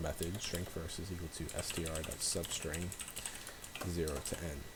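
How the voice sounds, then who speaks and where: Whispering quietly at a moderate pace, a man is heard with noticeable background noise and audible room echo. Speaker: coding tutorial youtuber. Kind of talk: tutorial. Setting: at home. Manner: quiet, slightly whispering; hesitant with many fillers.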